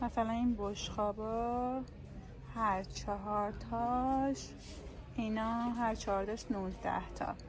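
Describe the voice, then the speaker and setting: The voice is somewhat breathy, with monotone, flat intonation at a very slow pace. Room echo is audible. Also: woman, fairly high pitch for a woman. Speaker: vlogger. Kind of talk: casual vlog chat.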